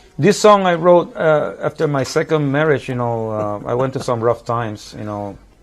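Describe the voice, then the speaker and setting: With music playing in the background, a man with a fairly high pitch and lively intonation talks at a moderate pace with hardly any pauses. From Puerto Rico. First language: Spanish. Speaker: musician. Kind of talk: casual chat. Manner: halting.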